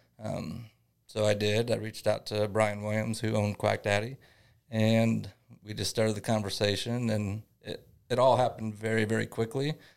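Here a man with a Midwestern American accent speaks at a fairly low pitch and a moderate pace, in a monotone, flat intonation. The recording is very clean, with a silent background. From northern Indiana. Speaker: small business owner. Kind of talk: interview.

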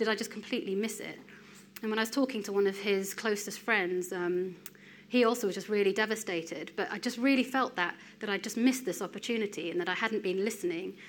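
In an English accent, a woman speaks at a very fast pace, her medium pitch showing ordinary variation. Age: 30s. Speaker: lay preacher. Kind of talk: sermon.

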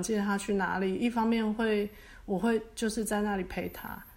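A woman with a fairly high pitch speaks in a monotone, flat intonation at a moderate pace. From Taiwan. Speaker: hypnotherapist. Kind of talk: interview.

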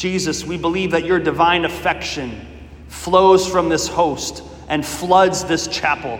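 Speaking very slowly yet with hardly any pauses, a man uses a high pitch, a warm tone and fairly even intonation over noticeable background noise. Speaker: prayer leader. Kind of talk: fervent prayer, devotional. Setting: church chapel, Eucharistic adoration. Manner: earnest, pleading, impassioned; warm, conversational, reverent.

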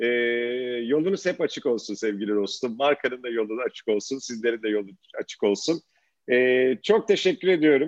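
With a normal speaking voice, a man talks at a medium pitch with lively intonation. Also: moderate pace. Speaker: podcast host. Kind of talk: interview.

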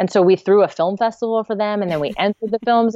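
Speaking very fast with an American accent, a woman uses a fairly high pitch that varies in an ordinary way. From US West Coast, Santa Cruz, California. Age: 40s. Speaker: nonprofit founder, former animation production manager. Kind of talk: interview conversation.

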